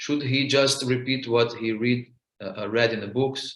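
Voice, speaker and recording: Speaking with a non-native accent, a man keeps his intonation fairly even. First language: not English. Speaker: monk preacher. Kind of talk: spiritual talk. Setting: video call. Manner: halting, many fillers.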